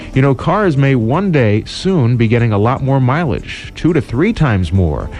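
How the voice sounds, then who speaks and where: Man at medium pitch with very wide pitch swings, very even loudness and a moderate pace, amid noticeable background noise. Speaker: radio DJ. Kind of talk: radio DJ aircheck, smooth jazz station break. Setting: radio broadcast.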